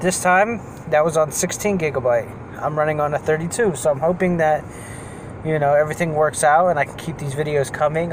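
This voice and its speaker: A man talks fairly quickly with fairly even intonation while noticeable noise runs behind him. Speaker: vlogger. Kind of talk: casual vlog chat. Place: car. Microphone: phone near.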